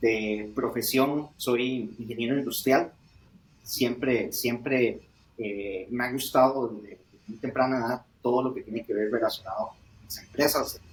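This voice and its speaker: With a Costa Rican accent, a man speaks at a fairly slow pace and medium pitch, his intonation fairly even but his loudness swinging widely. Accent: Costa Rican accent, noticeable. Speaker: startup founder, industrial engineer. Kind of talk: interview.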